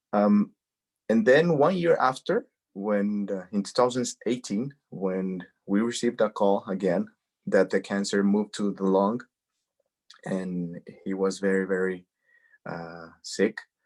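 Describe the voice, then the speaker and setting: In a Spanish accent, a man with a fairly low pitch talks at a fairly slow pace, leaving long, frequent pauses, with ordinary pitch variation. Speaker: cancer advocate. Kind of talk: interview, personal testimony. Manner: halting, many repetitions.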